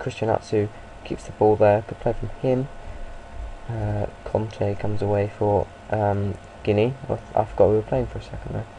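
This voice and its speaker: A man speaks at a moderate pace, with long, frequent pauses. Noticeable background noise can be heard. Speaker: gaming video creator. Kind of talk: video game commentary. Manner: hesitant, many fillers; animated.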